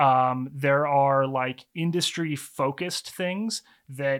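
An American accent marks this man's fairly high voice. It is an unremarkable speaking voice with fairly even intonation. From US, mainly Texas (also Baltimore, New York, Taiwan). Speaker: head-shop owner, entrepreneur. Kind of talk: casual interview chat. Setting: studio, on camera.

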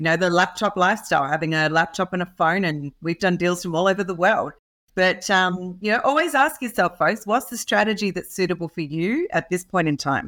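Fairly quick and with ordinary pitch variation, a woman talks with an Australian accent at a medium pitch. The recording is very clean, with a silent background. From rural Australia. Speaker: real estate entrepreneur. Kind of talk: podcast interview. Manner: animated.

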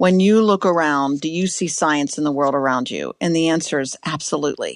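The background stays quiet. The speaker talks with an American accent. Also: woman. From US, Pittsburgh, Pennsylvania. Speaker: science education director. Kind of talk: interview.

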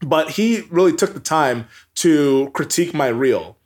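With an American accent, a man speaks in a high-pitched voice. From US Pacific Northwest, Everett, Washington. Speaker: sports broadcaster. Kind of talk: interview.

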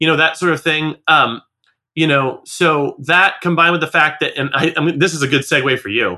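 Fairly quick and fairly high-pitched, a man talks with fairly even intonation. He has an ordinary speaking voice. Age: 40s. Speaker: music school business podcast co-host. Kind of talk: casual chat.

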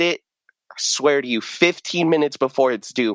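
On a very clean recording with a silent background, a man with an American accent and an ordinary speaking voice talks at a moderate pace with fairly even intonation. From rural southern Oregon. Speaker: recent college graduate. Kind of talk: casual interview. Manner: casual, frequent fillers.

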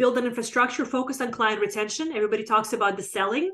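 A woman speaks with an unremarkable speaking voice. Her pitch is fairly high, with ordinary variation. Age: 40s. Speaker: business consultant. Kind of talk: interview.

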